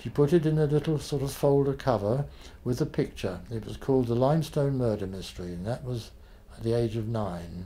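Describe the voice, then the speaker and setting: Speaking fairly quickly with a British accent, a man uses lively intonation at a medium pitch, his tone dark, mellow and somewhat breathy. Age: 80s+. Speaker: author and former journalist. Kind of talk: interview answer.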